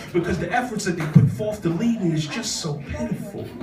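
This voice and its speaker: A man's high, passionate voice with an American accent and lively intonation at a moderate pace, over music in the background. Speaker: spoken word poet. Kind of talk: spoken word poetry performance at an open mic. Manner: passionate, emphatic, rhythmic delivery.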